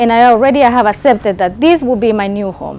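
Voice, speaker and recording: A woman's fairly high voice with a Spanish accent, fairly quick, with ordinary pitch variation over noticeable background noise. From Nicaragua. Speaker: keynote speaker. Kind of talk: motivational speech.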